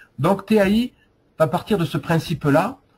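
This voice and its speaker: With a southwestern French accent, a man speaks with ordinary pitch variation. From southwest France. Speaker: software presenter. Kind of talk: product demo. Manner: hesitant, many fillers.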